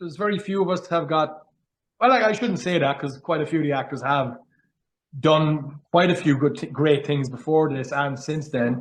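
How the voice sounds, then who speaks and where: A fairly high-pitched man with a strong Cork accent. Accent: Cork Irish accent, strong. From Ireland, Cork. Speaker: actor. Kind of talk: interview.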